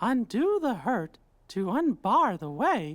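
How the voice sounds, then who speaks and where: The speaker uses a put-on character voice at a fairly high pitch, with very wide pitch swings. The pace is fairly slow. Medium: video game.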